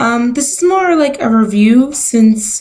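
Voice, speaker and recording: A woman's somewhat breathy voice at fairly high pitch, with very wide pitch swings. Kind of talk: casual talk to camera. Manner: hesitant, lots of filler words.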